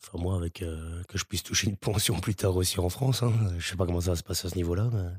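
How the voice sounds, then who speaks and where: A man's very deep, low voice, somewhat breathy, at a very fast pace with fairly even intonation, dry and close with no echo on a very clean recording with a silent background. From Belgium. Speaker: seasonal ski resort worker. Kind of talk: casual chat.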